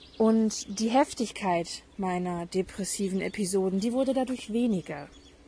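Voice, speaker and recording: The pace is fairly slow. Noticeable background noise runs throughout. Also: woman. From northern Germany, Hamburg. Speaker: podcast host. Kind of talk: personal monologue. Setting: outdoors in garden.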